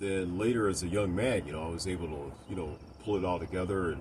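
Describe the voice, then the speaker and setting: This man has a very deep, low pitch and a somewhat breathy voice. His pitch variation is ordinary. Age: 60s. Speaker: video blogger. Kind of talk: personal opinion monologue. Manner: hesitant, many fillers.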